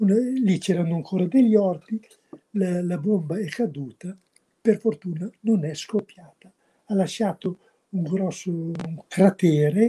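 A man with a high pitch and a dark, mellow tone speaks at a fairly slow pace with ordinary pitch variation. He leaves long, frequent pauses, and the sound is dry and close with no echo. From Tortona, Piedmont, northern Italy. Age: 80s+. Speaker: local historian. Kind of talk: storytelling. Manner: gentle.

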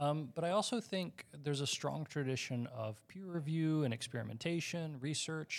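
This is a man with an ordinary speaking voice. He keeps a moderate pace and ordinary pitch variation. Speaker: university lecturer. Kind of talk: panel discussion.

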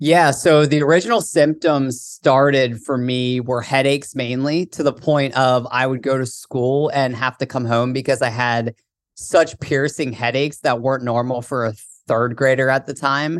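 At a moderate pace, a man with a normal speaking voice talks at a medium pitch, his intonation fairly even. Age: 20s. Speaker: author and childhood cancer survivor. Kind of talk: interview.

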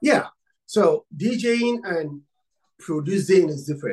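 A man talks slowly with lively intonation. His slightly mellow tone carries a slightly husky edge.

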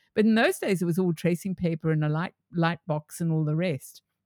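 A woman with a fairly low pitch speaks at a moderate pace. The recording is very clean with a silent background and a dry, close sound with no echo. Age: 60s. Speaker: metaverse educator and crypto enthusiast. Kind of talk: casual chat. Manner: animated.

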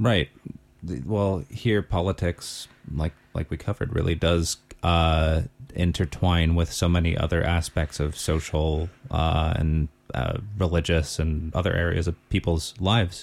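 With an American accent, a man speaks at a fairly slow pace and a very deep, low pitch, his intonation fairly even, in a very clean recording with a silent background. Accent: American, noticed by locals. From Los Angeles area, US. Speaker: podcast co-host. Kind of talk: casual chat. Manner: halting, many fillers.

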